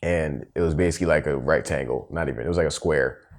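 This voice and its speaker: The voice has vocal fry and fairly even intonation. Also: man. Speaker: podcast co-host. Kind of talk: casual chat. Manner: loud; fast.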